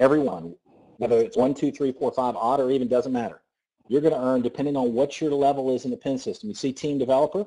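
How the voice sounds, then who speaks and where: A man with a Southern US accent at a very fast pace, medium in pitch, with lively intonation and a dark, mellow tone. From US South. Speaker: network marketing presenter. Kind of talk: sales pitch. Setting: conference call. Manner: animated.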